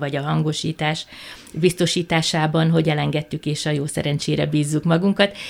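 A woman's very deep, low voice in a monotone, flat delivery. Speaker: cultural center director and festival organizer. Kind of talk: radio interview.

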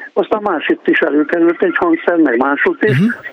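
A man with an ordinary speaking voice, a fairly quick pace and ordinary pitch variation. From Pécs, Hungary. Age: 60s. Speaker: radio caller, retired musician. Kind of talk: phone-in call. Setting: phone call.

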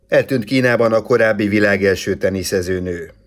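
Using a plain, everyday voice, a man talks fairly slowly at a fairly low pitch with fairly even intonation. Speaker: sports news presenter. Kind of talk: news reading. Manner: formal.

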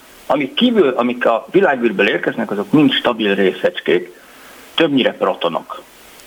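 Background noise is clearly present. Over it, a man talks at a moderate pace. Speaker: physicist, researcher. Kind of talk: radio interview, explaining science.

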